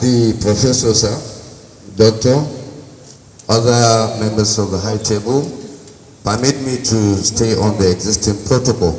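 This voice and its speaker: Light background noise and audible room echo surround a man talking at a fairly slow pace, his intonation fairly even and his pauses long and frequent. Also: medium pitch for a man. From Nigeria. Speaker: alumni association officer; presenter. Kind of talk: formal presentation. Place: hall.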